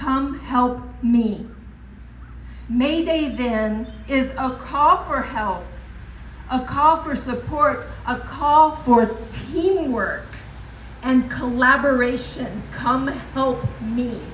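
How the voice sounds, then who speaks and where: Loud and high-pitched, a woman speaks very slowly with long, frequent pauses. Noticeable background noise and audible room echo surround her. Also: ordinary pitch variation. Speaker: professor at political rally. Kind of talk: rally speech.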